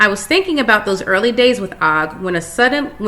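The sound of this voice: The voice reads in an unforced way. Its intonation is lively.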